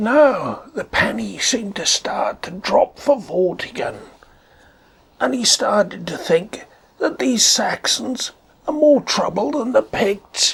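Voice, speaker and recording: This put-on character voice is raspy and fairly high-pitched, delivered at a fairly slow pace. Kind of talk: conversational storytelling. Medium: read story. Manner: casual, chatty.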